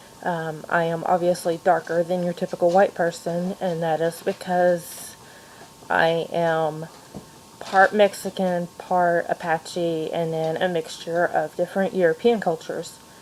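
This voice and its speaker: A woman with an American accent speaks at a fairly slow pace and a fairly low pitch. Her intonation is monotone and flat. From Kentucky, Louisville. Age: 30s. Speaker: education student and mother. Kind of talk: personal video monologue. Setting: home playroom at night. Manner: hesitant, with frequent fillers.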